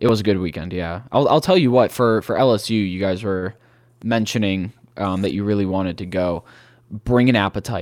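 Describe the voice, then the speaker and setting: The recording is very clean, with a silent background. A man with a Midwestern American accent speaks in a fairly low pitch with ordinary pitch variation. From Cleveland, Ohio. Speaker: college football stadium traveler and podcaster. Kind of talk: casual interview chat.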